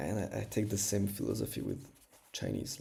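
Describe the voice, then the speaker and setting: A man with a French accent at a moderate pace. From France. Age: 20s. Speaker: language learner streamer. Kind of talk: casual livestream chat. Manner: halting, many fillers.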